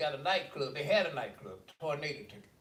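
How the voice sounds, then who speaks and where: Audible room echo surrounds the recording. A man with a fairly high pitch speaks at a moderate pace. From US South, Birmingham, Alabama. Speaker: panel guest. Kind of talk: casual group discussion.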